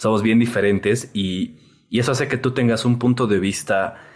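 A man's plain, everyday voice at a moderate pace with ordinary pitch variation. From Bolivia. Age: 20s. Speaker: photographer. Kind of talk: casual chat.

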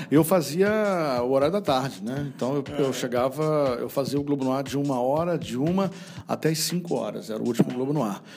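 Music plays in the background as a man talks at a fairly quick pace. His voice sits fairly high in pitch. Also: ordinary pitch variation. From Rio de Janeiro, Brazil. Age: 50s. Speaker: radio broadcaster. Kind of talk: casual interview.

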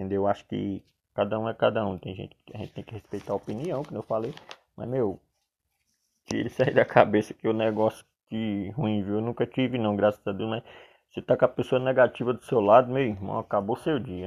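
A man with a fairly low pitch and big swings in loudness. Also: fairly quick pace. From Paraíba, Brazilian Northeast. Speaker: barber and barbering coach. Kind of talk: solo monologue podcast. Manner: halting, many fillers; serious, not very animated.

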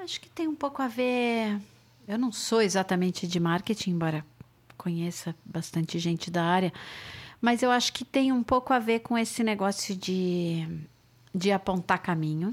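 An unremarkable speaking voice talks at a moderate pace with lively intonation and big swings in loudness, on a very clean recording with a silent background. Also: woman, medium pitch for a woman. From Brazil, São Paulo. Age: 50s. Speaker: music booker and show producer. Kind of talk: casual chat.

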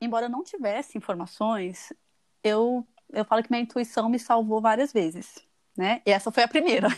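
In a plain, everyday voice, a woman speaks at a moderate pace, the sound dry and close with no echo and the recording very clean against a silent background. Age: 30s. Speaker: fertility patient sharing her story. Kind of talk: casual interview.

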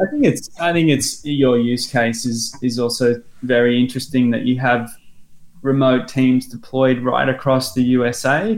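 A man with an Australian accent, medium pitch, fairly even intonation and a fairly slow pace. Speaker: learning software company guest. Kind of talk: podcast interview.

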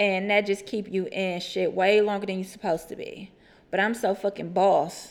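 Vocal fry runs through a woman's medium-pitched voice. Her pace is moderate. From Houston, Texas (Acres Homes). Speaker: podcast co-host. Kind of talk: casual chat. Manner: animated.

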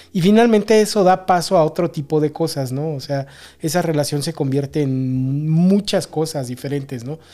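A man speaks at a moderate pace with ordinary pitch variation. His voice sits fairly high and has a dark, mellow tone. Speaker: podcast co-host. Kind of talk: casual chat.

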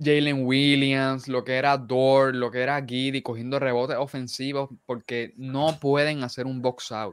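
A man speaks at medium pitch with a clear, smooth tone and little pitch movement. His pace is fairly slow, with few pauses.

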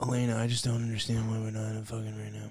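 A man speaks in a put-on character voice at medium pitch. His delivery is very fast and monotone, with flat intonation. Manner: mopey, whining.

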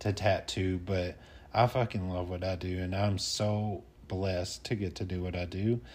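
In a Southern US accent, a man with a very deep, low pitch and a somewhat breathy voice speaks at a fairly slow pace. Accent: Southern US twang. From US South, North Alabama. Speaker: tattoo artist and military veteran. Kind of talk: casual interview chat.

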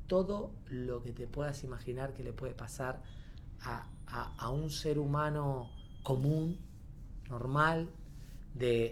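Audible room echo surrounds a man of medium pitch. He speaks at a very slow pace with ordinary pitch variation. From Argentina, Córdoba province (Corral de Bustos). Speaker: actor and creative theatre teacher. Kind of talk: casual chat.

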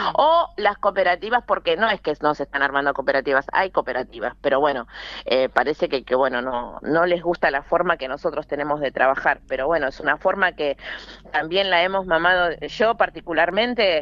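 Talking at a fairly quick pace, a woman uses lively intonation in a fairly low voice. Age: 50s. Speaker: cooperative worker. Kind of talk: interview. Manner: halting.

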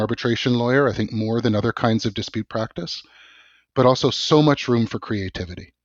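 With a Canadian accent, a man speaks at medium pitch using fairly even intonation. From Canada, Vancouver. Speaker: law professor. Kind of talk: interview. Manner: hesitant with repetitions.

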